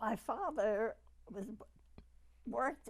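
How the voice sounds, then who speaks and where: Very slowly, a woman speaks with a New York accent and lively intonation. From New York City. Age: 80s+. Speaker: retired pharmacist, oral history interviewee. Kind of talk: oral history interview.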